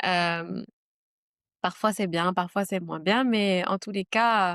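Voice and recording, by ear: A woman's fairly low, fairly bright voice at a slow pace with fairly even intonation, dry and close with no echo, on a very clean recording with a silent background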